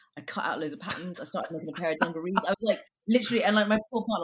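A woman talks very fast with a London accent. Her pitch swings very widely. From London (Brixton), Jamaican family. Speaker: theatre director. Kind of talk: casual interview chat.

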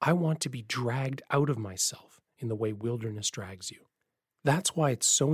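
An unforced reading voice carries the passage. Behind it, the background stays quiet.

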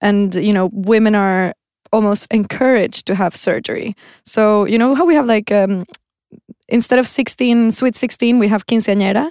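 With a Spanish accent and a fairly high pitch, a woman speaks at a moderate pace with ordinary pitch variation and very even loudness, the recording very clean with a silent background and a dry, close sound with no echo. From Venezuela. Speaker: textile designer. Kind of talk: casual chat.

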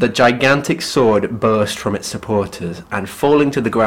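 The pitch shifts in an ordinary way. The voice reads naturally.

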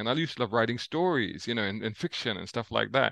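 A man with a London accent speaks at a very fast pace, his intonation lively. The sound is dry and close with no echo, against a quiet background. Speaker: motoring journalist. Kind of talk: interview.

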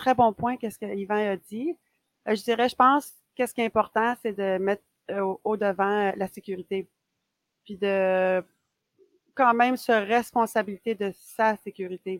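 Fairly slow speech from a woman with a fairly high pitch and a Quebec accent, with long, frequent pauses and a dry, close sound with no echo. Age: 40s. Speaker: ultra runner and running coach. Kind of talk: casual chat. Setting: remote call.

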